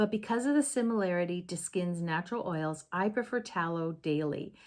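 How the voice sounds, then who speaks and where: With an ordinary speaking voice, a woman talks at a fairly slow pace at a medium pitch and with lively intonation. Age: 60s. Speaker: former esthetician. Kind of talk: casual talk to camera.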